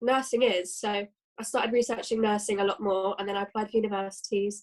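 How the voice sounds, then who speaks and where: Speaking very fast with fairly even intonation, a woman talks in a British accent. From London, England. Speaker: nursing student. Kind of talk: casual chat.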